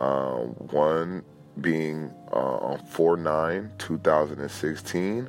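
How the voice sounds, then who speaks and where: Over music in the background, a man with an American accent talks at a very slow pace in a very deep, low pitch with ordinary pitch variation. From Los Angeles, California. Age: 20s. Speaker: personal testimony speaker. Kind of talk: testimony. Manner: halting.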